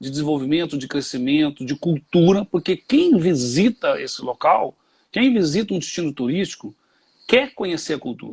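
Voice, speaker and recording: Heard in a dry, close sound with no echo and a silent background in a very clean recording, a man with a fairly high pitch speaks at a moderate pace with lively intonation. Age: 60s. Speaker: tourism expert. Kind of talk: interview. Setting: live stream on Instagram. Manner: halting, many fillers.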